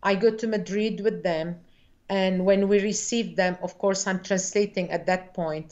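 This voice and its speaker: Over a quiet background, a woman talks fairly slowly with fairly even intonation. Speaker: guest. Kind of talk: interview answer. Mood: warm, reflective. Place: home room. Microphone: video call.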